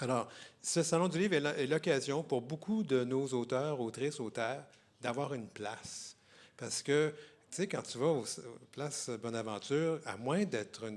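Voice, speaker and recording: This man speaks with a Quebec accent. His voice is fairly high, with lively intonation. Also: fairly slow pace. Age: 60s. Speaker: literary festival host. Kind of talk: public interview at book fair. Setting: stage with audience. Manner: halting, many repetitions.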